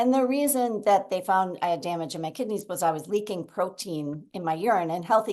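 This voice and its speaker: A woman at a medium pitch talks at a fairly quick pace with lively intonation. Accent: Minnesota. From Minnesota, US (Minneapolis). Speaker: guest sharing a chronic illness story. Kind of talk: interview testimony.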